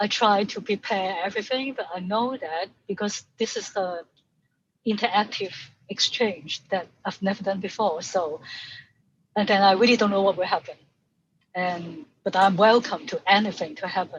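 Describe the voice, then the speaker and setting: A woman of medium pitch speaks with a Hong Kong accent, somewhat breathy. Her pace is moderate and her pitch varies in an ordinary way. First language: Cantonese. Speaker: sound artist. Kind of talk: casual chat.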